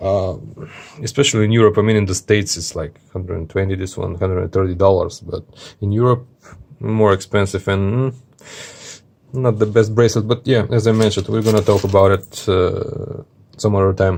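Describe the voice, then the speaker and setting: A man speaks at a fairly quick pace with a fairly low pitch. His voice is somewhat breathy and his intonation fairly even. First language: not English. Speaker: watch reviewer. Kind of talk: product review video. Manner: casual, many hesitations.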